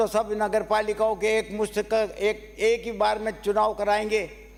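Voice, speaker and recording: A high-pitched man speaks with monotone, flat intonation. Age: 80s+. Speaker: politician. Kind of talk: legislative assembly speech. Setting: state legislative assembly.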